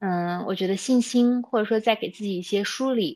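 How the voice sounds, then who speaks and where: The recording is very clean, with a silent background. A woman talks at a moderate pace, her fairly high pitch showing ordinary variation. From China, Xinjiang. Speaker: startup founder. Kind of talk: interview conversation. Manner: hesitant fillers.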